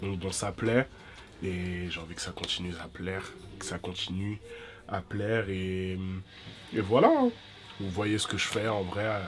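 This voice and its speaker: Speaking at a fairly slow pace with long, frequent pauses, a man holds a monotone, flat intonation at a fairly low pitch. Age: 20s. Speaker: vlogger. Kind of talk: casual chat. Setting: eating on camera. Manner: halting.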